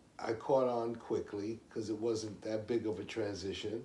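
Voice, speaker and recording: Speaking at a fairly slow pace, a man has a fairly low, somewhat breathy voice. Room echo is audible. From New York, Puerto Rican family. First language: Spanish. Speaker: interviewee. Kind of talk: interview. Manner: halting, many fillers.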